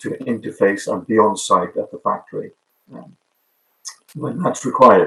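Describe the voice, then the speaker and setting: A man with a British accent. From Wales. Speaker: product manager. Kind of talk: webinar presentation. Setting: online webinar. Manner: hesitant, many fillers.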